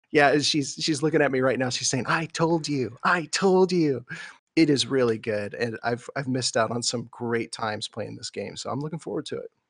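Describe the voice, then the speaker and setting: A man talks in an ordinary speaking voice at a medium pitch, with ordinary pitch variation and a moderate pace. The sound is dry and close with no echo, and the background is quiet. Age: 30s. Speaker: gaming podcast co-host. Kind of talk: casual chat.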